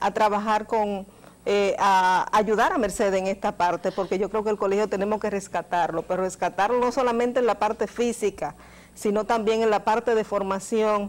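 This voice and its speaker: In an unremarkable speaking voice, a woman talks at a moderate pace with very even loudness. Her pitch is fairly high, with ordinary variation. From Dominican Republic. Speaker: journalist. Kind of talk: interview. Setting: studio. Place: studio. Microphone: lapel.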